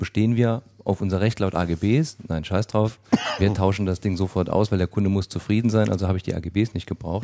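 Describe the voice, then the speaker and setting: In a Saarland accent, a man speaks with a dark, mellow tone, a fairly low pitch and fairly even intonation. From Saarland, Germany. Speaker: IT company owner. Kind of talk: casual chat. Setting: studio.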